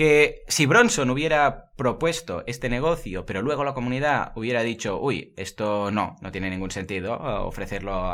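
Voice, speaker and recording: A man at a moderate pace, medium in pitch, with very wide pitch swings. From Murcia, Spain. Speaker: online marketing podcaster. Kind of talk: casual interview. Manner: energetic.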